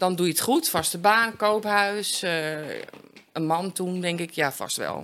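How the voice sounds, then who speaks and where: A woman talks at a very slow pace. Her pitch moves in an ordinary way. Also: medium pitch for a woman. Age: 50s. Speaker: recovering addict. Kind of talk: interview testimony.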